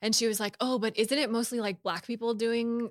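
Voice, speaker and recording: A woman with an ordinary speaking voice talks at a moderate pace with fairly even intonation, the sound dry and close with no echo in a very clean recording with a silent background. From US West Coast (Bay Area). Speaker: filmmaker and director. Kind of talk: casual interview conversation. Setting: studio.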